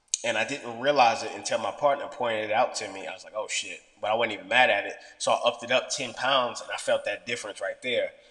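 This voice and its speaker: A man talks at a very fast pace with hardly any pauses. His loudness swings a lot. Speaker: fitness vlogger. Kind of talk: casual vlog monologue.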